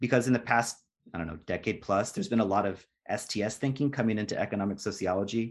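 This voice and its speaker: A man talks at a very fast pace. His pitch is fairly low, with ordinary pitch variation. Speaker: sociologist and postdoc. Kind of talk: interview. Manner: halting, with many fillers.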